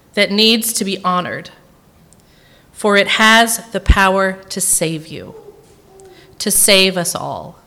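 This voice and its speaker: With an American accent, the speaker talks at a very slow pace with fairly even intonation, long and frequent pauses, big swings in loudness, and audible room echo. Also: woman, medium pitch for a woman. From Tennessee, Nashville area. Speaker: guest preacher. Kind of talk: sermon. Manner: unscripted, with many fillers.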